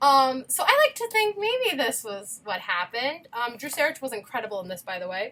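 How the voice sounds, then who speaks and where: A woman's high, raised and projected voice, bright and sharp in tone, with very wide pitch swings, big swings in loudness and hardly any pauses. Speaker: musical theatre performer and video creator. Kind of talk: casual chat. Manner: fast; animated.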